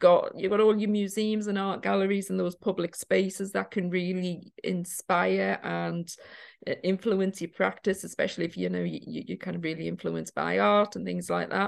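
A woman at a moderate pace, in a Geordie accent, over a quiet background. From Newcastle, northern England. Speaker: witchcraft teacher and author. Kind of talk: casual interview chat. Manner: halting, many fillers.

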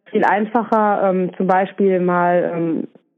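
A woman talks at a medium pitch. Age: 40s. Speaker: kindergarten head. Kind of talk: interview. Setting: phone call.

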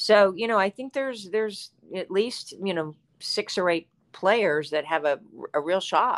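Here is a woman with an American accent and a plain, everyday voice, medium in pitch and fairly slow. Her intonation is lively, and the recording is very clean with a silent background. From West Virginia (Charleston). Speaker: former pro tennis player. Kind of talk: interview.

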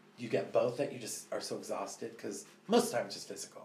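Room echo can be heard around the speaker. He is a man with an American accent. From Northern California. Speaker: salon owner. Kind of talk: casual chat.

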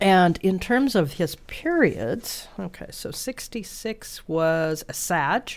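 The intonation is lively. The recording is very clean with a silent background. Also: woman. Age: old. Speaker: astrologer, radio host. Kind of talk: radio show, astrology talk. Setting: radio studio.

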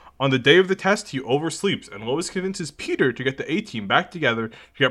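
With a bright, sharp tone, a man speaks at a fairly quick pace and makes very wide pitch swings. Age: 20s. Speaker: podcast co-host. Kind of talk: reading aloud; casual chat.

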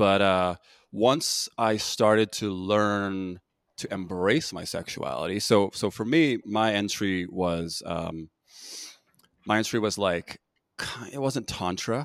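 Recorded very cleanly with a silent background and a dry, close sound with no echo, a man with an American accent has an unremarkable speaking voice, a fairly low pitch, ordinary pitch variation and a fairly slow pace. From United States, Korean American. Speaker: podcast host. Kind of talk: podcast interview.

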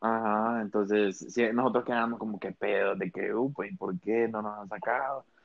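An ordinary speaking voice from a man at a moderate pace, medium pitch with ordinary pitch variation and hardly any pauses. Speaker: podcast co-host, university student. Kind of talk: casual chat.

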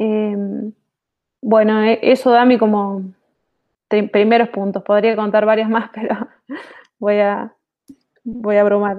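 The delivery is very slow, with long, frequent pauses. Its intonation is monotone and flat. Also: woman, fairly high pitch for a woman. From Argentina, Mendoza (General Alvear), rural. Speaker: IT manager. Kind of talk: interview. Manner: hesitant, repeats words.

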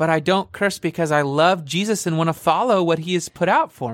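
Recorded very cleanly against a silent background, a man with an American accent talks at a moderate pace in a high pitch for a man, with ordinary pitch variation. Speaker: podcast host, church staff member. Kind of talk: casual chat, faith-based podcast. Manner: loud, excitable.

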